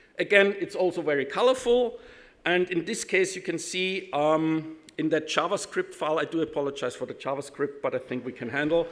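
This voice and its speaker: A man's high voice with a German accent, fairly quick pace and ordinary pitch variation. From Austria, Vienna. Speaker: IT consultant, conference speaker. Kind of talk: conference talk. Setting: stage with audience. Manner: halting, many fillers.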